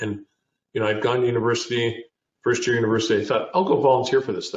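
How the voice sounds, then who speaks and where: A man with a Canadian accent talks at a very fast pace. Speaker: business founder and CEO. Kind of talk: interview. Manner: halting.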